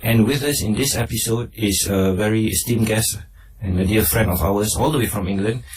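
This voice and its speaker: A man talks in a somewhat breathy voice at a fairly low pitch. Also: ordinary pitch variation, fairly quick pace, very even loudness. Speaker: research officer and radio interviewer. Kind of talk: radio interview host.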